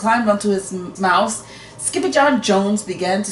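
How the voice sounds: What you hear is a natural reading voice.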